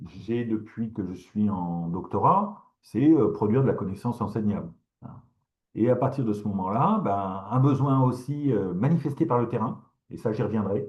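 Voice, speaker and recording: At a fairly slow pace, a man speaks at a medium pitch with ordinary pitch variation and a somewhat breathy quality. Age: 60s. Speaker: professor. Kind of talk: lecture. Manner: halting, many fillers and repetitions.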